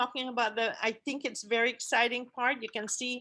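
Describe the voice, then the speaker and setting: A woman with a Guamanian accent speaks at a high pitch with a bright, sharp tone and fairly even intonation. Her moderate pace comes through on a very clean recording with a silent background. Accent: Guamanian (CHamoru) English. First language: CHamoru. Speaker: language commission chairperson. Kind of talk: conference presentation. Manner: halting, many fillers.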